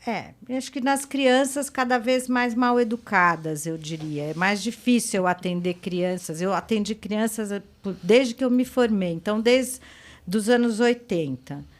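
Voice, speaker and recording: An ordinary speaking voice from a woman, fairly high in pitch, lively in intonation and fairly slow in pace, on a very clean recording with a silent background. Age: 60s. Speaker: psychoanalyst. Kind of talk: podcast interview.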